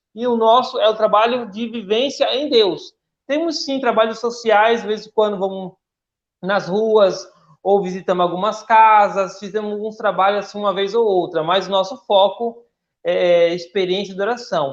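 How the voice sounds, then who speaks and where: Here a man speaks at a high pitch. His pitch variation is ordinary. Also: moderate pace. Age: 30s. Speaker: church volunteer and upholstery worker. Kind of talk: radio interview.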